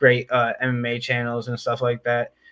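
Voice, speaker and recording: The recording is very clean with a silent background, capturing a man's medium-pitched voice with a bright, sharp tone. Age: 20s. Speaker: MMA YouTuber, live streamer. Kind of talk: casual chat. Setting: live stream.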